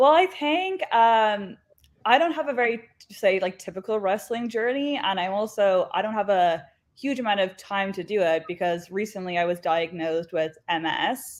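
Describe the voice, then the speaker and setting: Speaking in an Irish accent, a woman has lively intonation, a medium pitch and a moderate pace. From Ireland. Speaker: professional wrestler. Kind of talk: interview. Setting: live online show.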